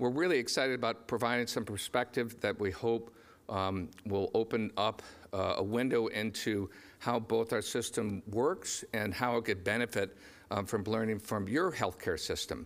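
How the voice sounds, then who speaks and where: A man's pitch shifts in an ordinary way. He keeps a moderate pace. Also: very even loudness. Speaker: conference moderator. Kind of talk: conference introduction speech. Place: stage.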